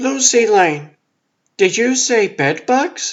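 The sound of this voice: A man's put-on character voice at an extremely high pitch, with very wide pitch swings and a very slow pace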